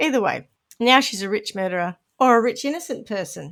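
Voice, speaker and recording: In a very clean recording with a silent background, a woman with a New Zealand accent speaks at a fairly quick pace in a high pitch with lively intonation. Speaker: podcast co-host. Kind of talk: casual chat.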